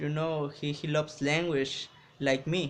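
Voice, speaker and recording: Speaking fairly slowly with a Mexican accent, a man uses a fairly high pitch and a monotone, flat intonation. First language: Spanish. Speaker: English learner vlogger. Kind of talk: casual vlog talk to camera. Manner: halting, many restarts.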